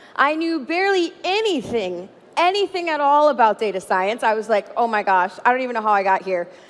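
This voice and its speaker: Loud and fairly quick, a woman speaks with very wide pitch swings. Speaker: data scientist. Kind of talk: conference keynote talk. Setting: stage with audience. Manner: animated.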